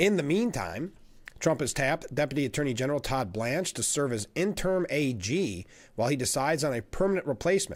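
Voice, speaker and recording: Fairly high male voice, fairly quick in pace, with very wide pitch swings, in a very clean recording against a silent background. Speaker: livestream news host. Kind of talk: news commentary. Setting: live stream with roof camera.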